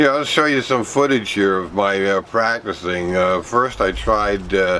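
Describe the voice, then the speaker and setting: At a moderate pace, a man speaks in a fairly low, bright, sharp voice with ordinary pitch variation. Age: 60s. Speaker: vlogger. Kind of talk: casual video vlog. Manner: halting, many fillers.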